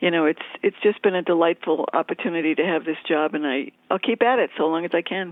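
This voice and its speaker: In a New England accent, a woman with a fairly low pitch talks at a very fast pace with hardly any pauses and ordinary pitch variation. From New England (Boston area). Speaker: magazine editor. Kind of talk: interview.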